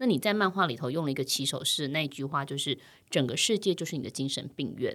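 Lively intonation comes at a very fast pace on a very clean recording with a silent background. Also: woman. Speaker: podcast host. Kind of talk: interview.

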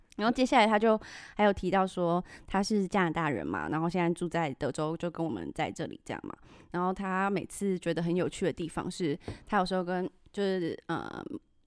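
In a very clean recording with a silent background, a woman with a plain, everyday voice talks at a fairly quick pace, her pitch fairly low with ordinary variation. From Taiwan. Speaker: podcast host. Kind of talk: casual chat.

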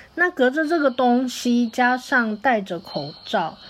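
Speaking very slowly, a woman uses a fairly high pitch that swings very widely. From Taipei, Taiwan. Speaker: host's university classmate. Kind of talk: recorded message.

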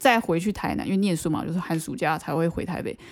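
In a very clean recording with a silent background, a woman with a fairly low pitch and vocal fry speaks with lively intonation. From Taiwan, Banqiao (New Taipei). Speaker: podcast co-host. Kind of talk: casual chat.

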